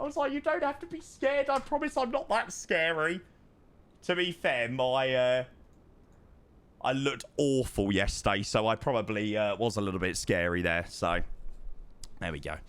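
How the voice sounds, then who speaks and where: A man with an English accent at a moderate pace, with long, frequent pauses, on a very clean recording with a silent background. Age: 20s. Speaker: streamer. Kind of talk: casual chat. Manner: animated.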